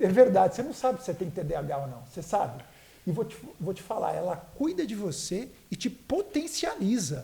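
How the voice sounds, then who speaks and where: Against noticeable background noise, a man with a high pitch talks in an animated tone at a fairly quick pace, with very wide pitch swings and big swings in loudness. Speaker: podcast host. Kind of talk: sponsor reads in casual chat.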